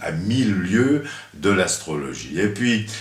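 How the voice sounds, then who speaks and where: With very wide pitch swings at a very slow pace, the voice has audible room echo and noticeable background noise. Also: man. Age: 70s. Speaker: astrologer. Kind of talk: interview. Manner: halting.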